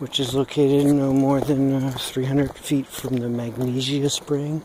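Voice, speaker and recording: A soft-spoken man talks in monotone, flat intonation at a fairly high pitch. Noticeable background noise is present. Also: moderate pace. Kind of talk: ASMR hiking narration. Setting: outdoors.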